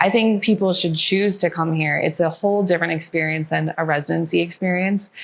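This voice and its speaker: Against noticeable background noise, a woman with a fairly low pitch speaks at a fairly quick pace, her loudness very even and her intonation fairly even. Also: hardly any pauses. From US Midwest, Wisconsin. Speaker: orthopedic surgeon in fellowship training. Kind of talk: interview testimonial.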